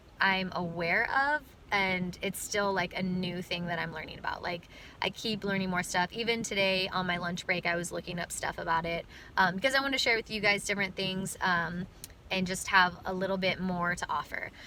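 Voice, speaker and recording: A woman talks at a moderate pace and medium pitch, with fairly even intonation. It is a normal speaking voice. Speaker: vlogger and brand ambassador. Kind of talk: casual vlog monologue. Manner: chatty, many fillers.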